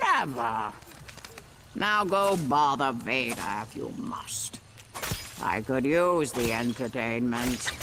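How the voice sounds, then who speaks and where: Putting on a character voice at a medium pitch, a man talks at a very slow pace with long, frequent pauses over clear background noise. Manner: exasperated, dismissive.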